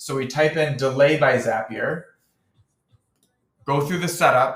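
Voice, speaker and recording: A man's bright, sharp tone at medium pitch and a moderate pace. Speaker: marketing tutorial creator. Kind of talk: tutorial. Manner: casual.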